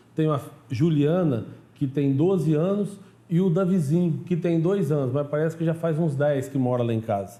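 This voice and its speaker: With a Minas Gerais accent, a man speaks at a moderate pace in a fairly high pitch, somewhat breathy, with a dark, mellow tone and ordinary pitch variation. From southern Minas Gerais, Brazil. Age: 40s. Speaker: pastor and TV show host. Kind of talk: TV program interview and introduction.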